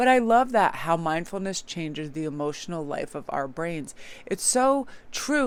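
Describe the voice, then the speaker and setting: Her pace is moderate. The woman's intonation sounds lively. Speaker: tarot reader. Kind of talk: casual vlog chat. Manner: speeds up when excited.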